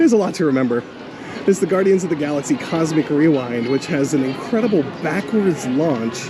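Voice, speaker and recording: With an American accent, a man talks at a fairly quick pace in a fairly high pitch, with lively intonation and very even loudness, plus audible room echo and music in the background. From Baltimore, US Mid-Atlantic. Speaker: radio host and podcaster. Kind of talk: casual vlog chat. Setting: outdoors at a theme park.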